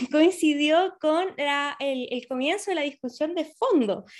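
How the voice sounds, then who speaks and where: A woman's voice with lively intonation. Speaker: podcast co-host, volunteer. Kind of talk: casual chat.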